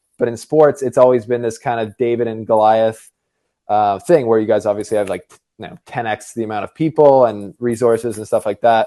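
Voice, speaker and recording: Recorded with a dry, close sound and no echo, a man with a slight Canadian accent speaks fairly quickly at medium pitch, his tone dark and mellow and his intonation fairly even. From Canada. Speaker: tennis YouTuber. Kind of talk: casual debate. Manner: casual, hesitant with fillers.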